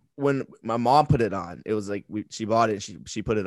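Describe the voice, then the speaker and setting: This man has a normal speaking voice and an American accent, pitched in the medium range with ordinary pitch variation. He talks at a fairly quick pace against a quiet background, with a dry, close sound and no echo. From Texas and Michigan. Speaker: social media bracket game creator. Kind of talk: casual chat.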